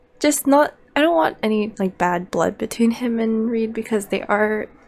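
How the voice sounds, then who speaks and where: A woman whispers quietly at a moderate pace. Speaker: gaming video creator. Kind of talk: let's play commentary. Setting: at home late at night. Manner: casual, filler-heavy.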